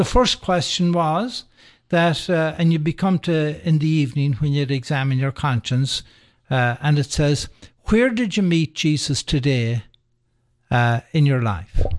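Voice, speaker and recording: With an Irish accent, a man speaks at a fairly high pitch and a fairly slow pace, using lively intonation against a quiet background. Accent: Irish brogue. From Ireland, County Sligo. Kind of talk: radio interview. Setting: radio studio.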